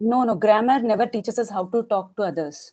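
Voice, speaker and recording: Against a quiet background, a woman with a Telugu accent talks at a fairly quick pace in a dark, mellow tone, with a fairly high pitch and ordinary pitch variation. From Telangana, India. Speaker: English learner interviewee. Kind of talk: casual interview. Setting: video call.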